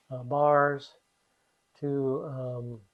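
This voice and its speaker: With a Midwestern American accent, a man speaks in a flat monotone at a fairly high pitch. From US Midwest. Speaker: retiree resident. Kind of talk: casual chat. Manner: halting, many fillers.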